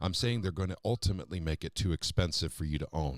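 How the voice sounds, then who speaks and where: A very fast-talking man with an American accent, very deep and low in pitch, with vocal fry and ordinary pitch variation, on a very clean recording with a silent background. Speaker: political talk show host. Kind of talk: live-stream political talk show.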